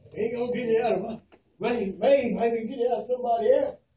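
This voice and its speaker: With an American accent, a man talks at a fairly quick pace in an extremely high pitch with ordinary pitch variation, over audible room echo and light background noise. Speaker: preacher. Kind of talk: fire-and-brimstone funeral sermon. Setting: funeral parlor, room recording. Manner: loud, shouting, fervent. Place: hall. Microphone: camera far.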